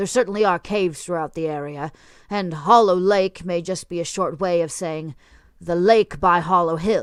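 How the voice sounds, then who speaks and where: A put-on character voice at a middle pitch and a moderate pace. The recording is very clean, with a silent background. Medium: read story. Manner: dry, condescending.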